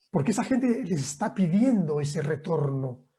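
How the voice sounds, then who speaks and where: A man with a dark, mellow tone and lively intonation. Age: 60s. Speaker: professor. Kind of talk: lecture Q&A. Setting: video call.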